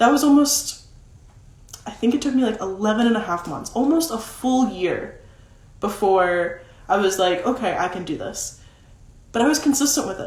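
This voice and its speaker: A woman with a fairly high pitch and lively intonation talks at a moderate pace with long, frequent pauses, audible room echo and noticeable background noise. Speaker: social media content coach. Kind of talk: live stream talk. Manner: casual, many fillers.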